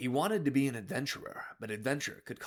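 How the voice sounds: A natural reading voice, pitch moving up and down in an ordinary way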